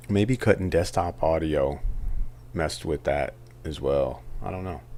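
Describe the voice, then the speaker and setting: Soft-spoken and at a fairly slow pace, a man with an American accent talks in a very deep, low voice with a dark, mellow tone, vocal fry and lively intonation. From Southern California. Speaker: poker streamer. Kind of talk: live stream commentary.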